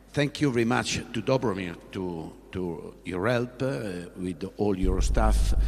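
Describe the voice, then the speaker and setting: A man with an Italian accent, very deep and low in pitch, at a very slow pace with hardly any pauses. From Italy. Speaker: sports official, former track athlete. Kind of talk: press conference speech. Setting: press conference on stage. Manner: halting, many fillers and repetitions.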